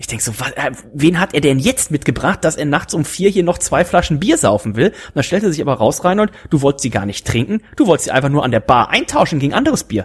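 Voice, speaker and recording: A man speaks very fast in a fairly high voice, his pitch swinging very widely over noticeable background noise. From Germany, rural farm. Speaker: podcast host. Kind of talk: casual chat.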